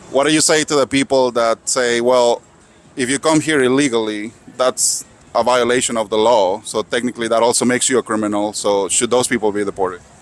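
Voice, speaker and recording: Moving at a fairly quick pace, the man speaks with a non-native accent. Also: medium pitch for a man, fairly even intonation, very even loudness, dry, close sound with no echo. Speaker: street interviewer, YouTuber. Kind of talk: street interview with voice-over asides. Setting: outdoors at a protest.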